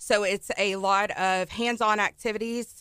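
Speaking with a Texan accent, a woman uses a medium pitch at a very slow pace on a very clean recording with a silent background. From Texas, Ennis near Dallas. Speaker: elementary school teacher. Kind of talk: casual radio interview. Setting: radio studio.

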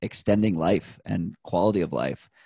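A man with an unremarkable speaking voice talks at a moderate pace and a fairly low pitch, with fairly even intonation. The sound is dry and close with no echo, in a very clean recording with a silent background. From Boston, Massachusetts. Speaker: runner and health tech sales manager. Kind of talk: casual interview.

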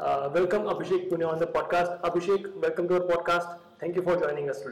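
Amid noticeable background noise, a man with a high pitch talks at a fairly quick pace with fairly even intonation. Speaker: podcast host. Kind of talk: podcast interview.

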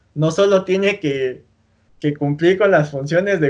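Speaking with a Mexican accent, a man keeps a moderate pace and fairly even intonation. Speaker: podcast host. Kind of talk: casual chat.

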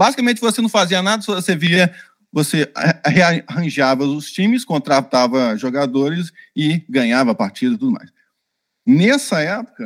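At a moderate pace, a man speaks in a high pitch with very wide pitch swings, the sound dry and close with no echo on a very clean recording with a silent background. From Brazil, Minas Gerais / Rio de Janeiro. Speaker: UX designer and author. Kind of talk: interview.

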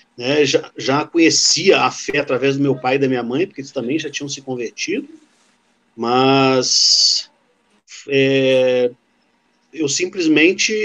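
A man's fairly high voice, very slow, broken by long and frequent pauses, his intonation fairly even. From Rio de Janeiro state, Brazil. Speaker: theologian. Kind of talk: interview testimony.

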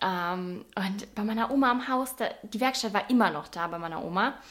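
A woman speaks in an animated tone at a moderate pace. Her pitch variation is ordinary. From Bavaria (Swabian region). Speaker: online fitness and nutrition coach. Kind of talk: casual vlog narration.

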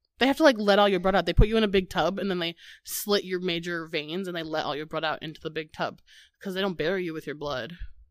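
Speaking at a very fast pace with an animated tone, a woman with a Midwestern US accent uses a fairly low pitch and ordinary pitch variation on a very clean recording with a silent background. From US Midwest. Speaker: podcast host. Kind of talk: casual chat, comedic banter. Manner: animated, jokey.

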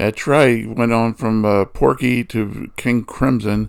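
A man with a plain, everyday voice, fairly low in pitch, at a fairly slow pace with ordinary pitch variation. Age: 60s. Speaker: music podcast co-host. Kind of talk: casual chat.

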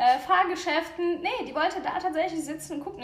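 A woman speaks at a very fast pace amid noticeable background noise and audible room echo. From Ukraine. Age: 30s. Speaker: cheerleader parent. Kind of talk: casual interview.

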